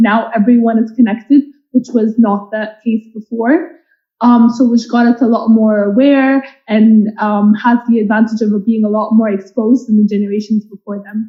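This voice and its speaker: The voice is somewhat breathy and delivered at a moderate pace. Its intonation stays monotone and flat. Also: woman, fairly high pitch for a woman. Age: 20s. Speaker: product manager on a panel. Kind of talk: panel discussion.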